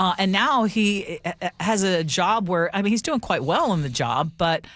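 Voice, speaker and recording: A woman with an unremarkable speaking voice talks at a medium pitch and moderate pace. Her intonation is lively, and the recording is very clean with a silent background. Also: very even loudness. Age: 60s. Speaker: radio host. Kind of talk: casual chat.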